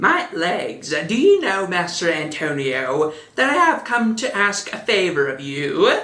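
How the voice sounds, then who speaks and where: A put-on character voice at middle pitch and a fairly slow pace. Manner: flamboyant, fabulous.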